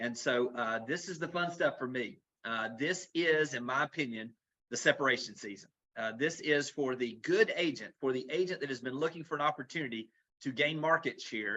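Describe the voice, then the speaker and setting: A man with a Southern US accent speaks in a fairly high pitch for a man. His tone is bright and sharp, with ordinary pitch variation. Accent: Southern US accent, noticeable. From US South, Florida Panhandle / south Alabama. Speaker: real estate executive. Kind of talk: webinar presentation. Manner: fast; animated.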